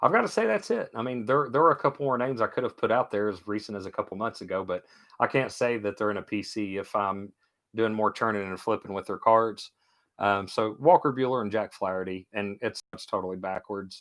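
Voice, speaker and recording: A man talks at a fairly quick pace with a strong Kentucky accent, his pitch fairly low. His pitch varies in an ordinary way, and the background is quiet. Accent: thick Kentucky. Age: 40s. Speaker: sports card seller. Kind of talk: live stream sale. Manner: casual, chatty.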